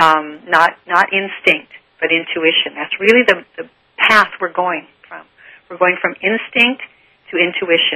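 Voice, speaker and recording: At a fairly slow pace, a woman speaks in a normal speaking voice of medium pitch, with ordinary pitch variation and big swings in loudness. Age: 60s. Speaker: author on relationships and spirituality. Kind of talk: interview.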